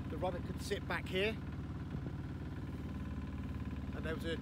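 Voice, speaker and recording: Over loud background noise, the voice keeps a moderate pace in a dry sound with no echo. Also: man. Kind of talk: casual vlog chat. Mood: cheerful, enthusiastic. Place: boat. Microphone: phone near.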